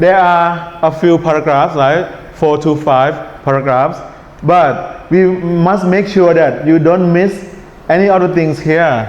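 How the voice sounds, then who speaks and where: A man talks at a very slow pace in a high pitch, keeping his loudness very even. Audible room echo and noticeable background noise fill the recording. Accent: strong Thai. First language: Thai. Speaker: English test teacher. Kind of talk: lecture. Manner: relaxed tone.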